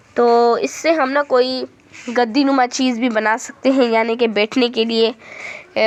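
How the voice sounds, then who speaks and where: Words come out at a very slow pace, the intonation staying fairly even. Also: woman. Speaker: home vlogger. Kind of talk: casual vlog narration. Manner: casual, halting with fillers.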